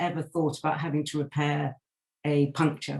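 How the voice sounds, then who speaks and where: A woman talks in a somewhat breathy voice. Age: 60s. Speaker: cycling campaigner. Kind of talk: presentation in an online meeting.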